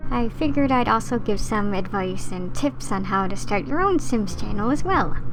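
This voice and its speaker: A woman talks at a moderate pace. Behind her, music plays. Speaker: gaming content creator. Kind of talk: casual voiceover tutorial.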